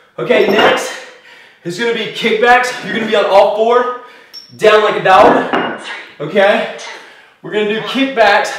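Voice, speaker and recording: A man with a high-pitched voice speaks at a moderate pace over noticeable background noise, with audible room echo. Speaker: fitness instructor. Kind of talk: workout instruction. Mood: upbeat, laughing. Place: studio.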